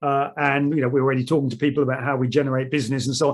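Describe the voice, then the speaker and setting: A man with a British accent. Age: 60s. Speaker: chairman of a surveyors' association. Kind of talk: webinar presentation.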